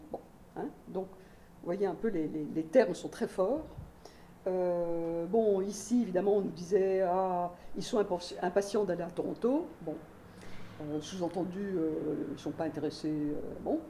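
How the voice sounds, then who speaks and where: The speech is fairly slow, with long, frequent pauses and ordinary pitch variation. An audible room echo is present. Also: woman, medium pitch for a woman. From Belgium. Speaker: sociologist, university researcher. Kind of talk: lecture. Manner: many hesitations (euh).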